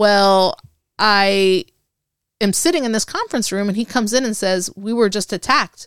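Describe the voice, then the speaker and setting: Animated in tone, a woman talks at a moderate pace and medium pitch with ordinary pitch variation, the sound dry and close with no echo. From Puerto Rico, raised in Texas and Panama. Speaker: Air Force veteran. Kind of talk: casual interview.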